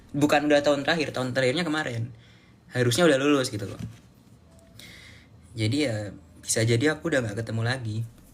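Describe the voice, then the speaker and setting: The man rattles along very fast, his pitch fairly high with ordinary pitch variation. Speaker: live streamer, student. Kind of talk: casual live stream chat. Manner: casual, halting with fillers.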